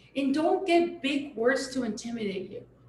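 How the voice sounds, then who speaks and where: The speaker talks at a moderate pace with a Mexican accent. Room echo is audible in the recording. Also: woman. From Sonora, Mexico. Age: 40s. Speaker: chef. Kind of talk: live panel conversation.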